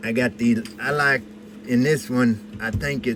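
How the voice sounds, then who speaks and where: A man with an American accent at medium pitch and a fairly slow pace, over noticeable background noise. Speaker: precious metals hobbyist. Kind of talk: casual chat. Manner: halting.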